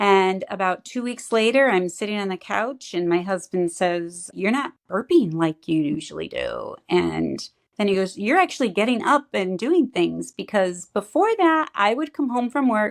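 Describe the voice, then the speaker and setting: A woman talks at a moderate pace with hardly any pauses, using a normal speaking voice at medium pitch. Her intonation is lively. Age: 60s. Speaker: client giving a health testimonial. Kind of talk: testimony.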